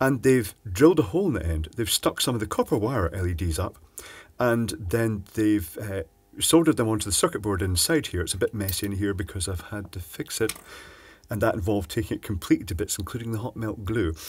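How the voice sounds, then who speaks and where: Fairly low, somewhat breathy male voice at a fairly quick pace. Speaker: presenter. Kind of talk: tutorial. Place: workshop.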